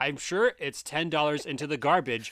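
In a very clean recording with a silent background, a man talks at a fairly quick pace in a plain, everyday voice pitched fairly high. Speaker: comedian podcast host. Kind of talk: casual comedic chat reviewing a product.

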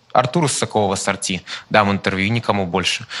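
With a Chinese accent and a bright, sharp tone, a man speaks at a fairly quick pace. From China, Guangzhou. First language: Chinese (speaking Russian). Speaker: journalism student in audience. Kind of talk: audience question.

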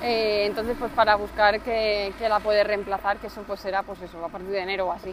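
In an ordinary speaking voice at medium pitch, a woman talks at a fairly quick pace with hardly any pauses, fairly even intonation and big swings in loudness. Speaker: podcast co-host, new mother and entrepreneur. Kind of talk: casual chat.

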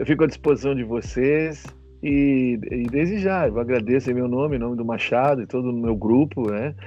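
Music plays in the background as the speaker talks at a fairly quick pace with ordinary pitch variation. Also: man. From Porto Alegre, southern Brazil. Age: 50s. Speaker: gaúcho music singer. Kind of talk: casual interview. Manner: halting, repeats words. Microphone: connection dropping.

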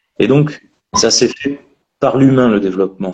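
A man's voice of medium pitch. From France, Périgord. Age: 30s. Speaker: landscaping entrepreneur. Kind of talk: interview.

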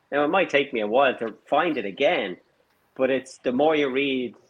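With an Irish accent, a man speaks at a moderate pace and medium pitch, using ordinary pitch variation. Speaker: engineering firm owner. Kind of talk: casual chat.

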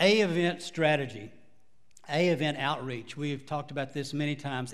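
With a Texan accent, a man talks at a fairly high pitch. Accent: Texas Southern. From Texas. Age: 70s. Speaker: pastor. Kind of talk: sermon. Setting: church.

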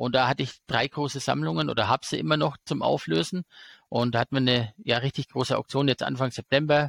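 A man's medium-pitched voice with vocal fry at a very fast pace, dry and close with no echo, in a very clean recording with a silent background. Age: 40s. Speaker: investor and finance YouTuber. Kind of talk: casual interview.

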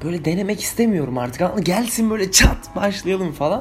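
Noticeable background noise is present. Through it, a man talks at a moderate pace. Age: 20s. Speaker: vlogger. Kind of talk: casual monologue.

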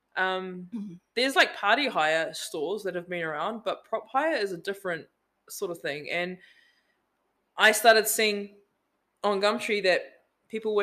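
A bright, sharp-toned woman's voice with a New Zealand accent, on a very clean recording with a silent background. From New Zealand, Auckland North Shore. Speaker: business owner. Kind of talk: casual chat.

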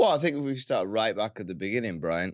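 British-accented speech from a man. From UK. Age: 30s. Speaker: Paralympic athlete. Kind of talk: interview. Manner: halting.

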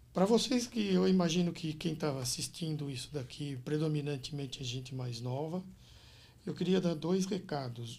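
A man speaks at a moderate pace with a fairly high pitch, a somewhat breathy voice and lively intonation. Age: 60s. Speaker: business consultant and executive coach. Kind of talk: interview conversation.

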